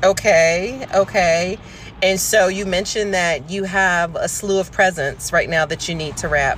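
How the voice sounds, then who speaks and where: The delivery is animated, with ordinary pitch variation and a fairly slow pace. Noticeable background noise runs underneath. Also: woman, medium pitch for a woman. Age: 40s. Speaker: podcast host. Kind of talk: casual chat. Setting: in a car by the roadside. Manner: animated, laughing often.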